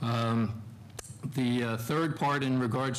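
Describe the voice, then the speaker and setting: He talks at a fairly slow pace with an American accent and a medium pitch. His intonation stays fairly even, and room echo is audible. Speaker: military engineer commander on a panel. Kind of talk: panel discussion answer. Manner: halting, many fillers.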